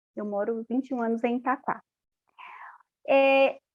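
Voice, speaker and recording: At a fairly slow pace, a woman speaks with a slight Paraíba accent. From Paraíba, Brazil. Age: 40s. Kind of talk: interview testimony.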